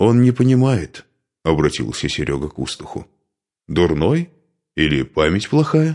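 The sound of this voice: Over a quiet background, someone reads in an unforced voice.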